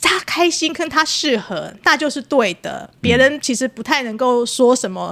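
Lively intonation from a woman with a high voice. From Taiwan, Taipei (Wanhua). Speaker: podcast host. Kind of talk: casual chat.

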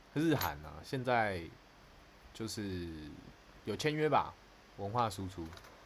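A man speaks at a very slow pace with long, frequent pauses. His fairly low voice moves in very wide pitch swings. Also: big swings in loudness. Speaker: podcast co-host. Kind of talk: casual chat. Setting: live stream over call.

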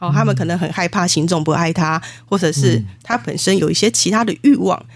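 The speaker is a woman with a fairly low voice. Her speech carries vocal fry. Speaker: spiritual medium and author. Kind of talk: interview.

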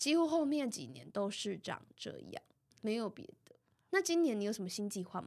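With a Taiwanese accent, a woman talks at a moderate pace in a fairly high pitch, with very wide pitch swings and big swings in loudness. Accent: Taiwanese Mandarin. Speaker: podcast co-host. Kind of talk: casual chat.

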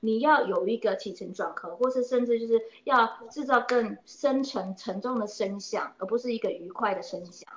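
A fairly high-pitched woman speaks at a moderate pace with ordinary pitch variation and big swings in loudness. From Taiwan. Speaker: oboist and music teacher. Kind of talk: interview. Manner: hesitant, many fillers.

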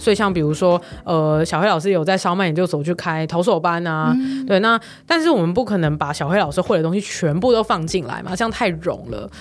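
Over background music, a woman talks at a fairly quick pace with a fairly low pitch and ordinary pitch variation. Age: 20s. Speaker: online course producer and company founder. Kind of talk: interview.

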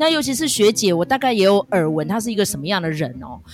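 Music plays in the background as a woman speaks at a fairly quick pace. Her pitch swings very widely. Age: middle-aged. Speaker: podcast host. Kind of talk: casual drama review chat. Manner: chatty, heavy use of filler particles.

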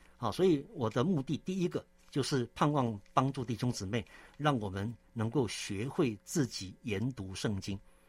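A man speaks at a moderate pace in a medium pitch, his intonation lively. His voice is somewhat breathy. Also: very clean recording, silent background. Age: 60s. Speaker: theological seminary president and church elder. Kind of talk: interview testimony; sermon-like scripture exposition. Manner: frequent filler 'ah' particles.

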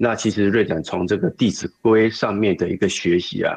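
A man with fairly even intonation and a Taiwanese accent. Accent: Taiwanese Mandarin. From Kaohsiung, Taiwan. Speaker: program student sharing experience. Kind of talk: testimony.

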